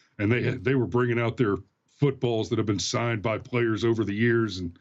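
A man with a normal speaking voice and a medium pitch talks at a fairly quick pace. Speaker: guest commentator. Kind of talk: casual live-streamed political commentary. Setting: live stream, video call.

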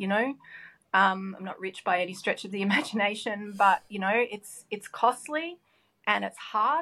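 This woman speaks with an Australian accent at a moderate pace, her medium pitch showing ordinary variation. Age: 50s. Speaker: business owner. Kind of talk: interview.

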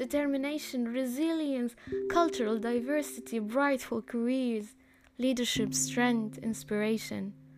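Noticeable background noise sits behind a woman's voice. She speaks at a moderate pace and a fairly high pitch. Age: 20s. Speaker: podcast host. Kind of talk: personal podcast monologue.

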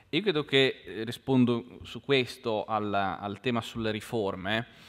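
A man's fairly low voice, a plain, everyday voice, moves with ordinary pitch variation. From Genoa, Liguria. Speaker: think tank research director. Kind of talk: panel discussion. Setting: lecture hall with audience.

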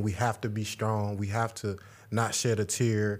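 Speaking at a moderate pace, a man has a fairly low pitch.

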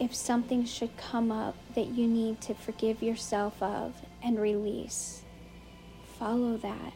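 A woman's soothing, calm voice at a fairly high pitch, fairly slow and flat in a monotone, with music in the background. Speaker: podcast host and meditation guide. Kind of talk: guided meditation. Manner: slow, soothing, calm; gentle, instructive.

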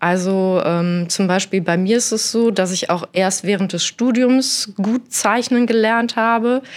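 Very slowly, a woman talks in a medium pitch. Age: 40s. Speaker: architect. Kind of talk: interview. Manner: hesitant, many fillers.

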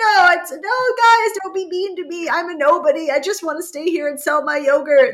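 Doing a put-on character voice, a woman whines at an extremely high pitch and a moderate pace with hardly any pauses, over light background noise. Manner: whiny, mocking.

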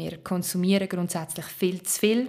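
With a normal speaking voice, a woman talks at a fairly low pitch and a moderate pace. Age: 30s. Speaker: advertising and social media expert. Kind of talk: interview.

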